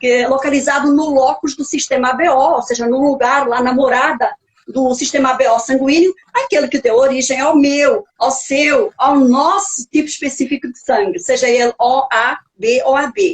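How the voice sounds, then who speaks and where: A woman talks at a high pitch with a Portuguese accent. Her pace is moderate and her pitch variation ordinary. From Portugal. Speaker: nutrigenetics specialist, author, speaker. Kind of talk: lecture. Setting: live stream video call.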